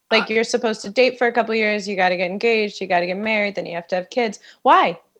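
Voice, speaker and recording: In an unremarkable speaking voice, a woman talks at a medium pitch with ordinary pitch variation against a quiet background. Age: 30s. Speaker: author. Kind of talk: casual chat. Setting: studio.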